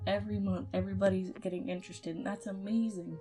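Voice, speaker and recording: A woman's voice with music in the background. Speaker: 3D animator. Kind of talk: casual talk to camera. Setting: home recording, poor mic.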